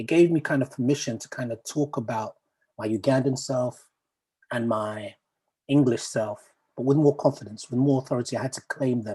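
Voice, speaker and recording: A man with a medium pitch and a dark, mellow tone talks at a fairly quick pace. His voice is somewhat breathy, with fairly even intonation. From Uganda, raised from childhood in Peckham, London. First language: Luganda. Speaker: poet. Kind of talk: talk to an online audience. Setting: video call. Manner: hesitant, many fillers and restarts.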